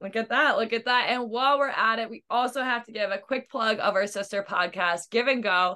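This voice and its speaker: A woman with an unremarkable speaking voice and an American accent talks fairly quickly and fairly high, with ordinary pitch variation and hardly any pauses. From Missouri, US Midwest. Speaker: podcast co-host and college soccer player. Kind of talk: casual chat.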